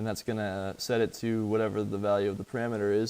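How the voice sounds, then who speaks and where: Fairly even intonation from a plain, everyday voice. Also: man. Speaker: coding teacher. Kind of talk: lecture.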